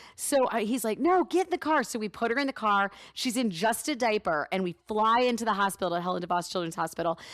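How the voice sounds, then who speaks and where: Animated and very fast, a woman's fairly high voice makes very wide pitch swings. The recording is very clean, with a silent background and a dry, close sound with no echo. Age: 30s. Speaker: radio host. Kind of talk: casual chat.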